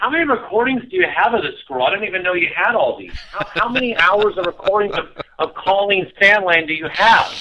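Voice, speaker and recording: A man with a high voice speaks in a raised, projected way at a fairly quick pace, with noticeable background noise. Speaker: caller. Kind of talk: casual chat. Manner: loud.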